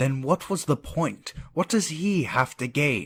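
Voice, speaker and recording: A man's put-on character voice, fairly high in pitch, at a fairly slow pace. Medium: machinima. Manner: blunt, skeptical.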